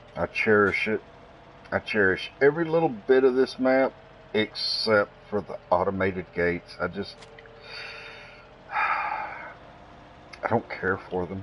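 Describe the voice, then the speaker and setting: A man with a Southern US accent speaks at a very slow pace, with long, frequent pauses. Noticeable background noise runs underneath. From US South. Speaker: gaming streamer. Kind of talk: live gameplay stream commentary. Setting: live stream. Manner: casual, conversational.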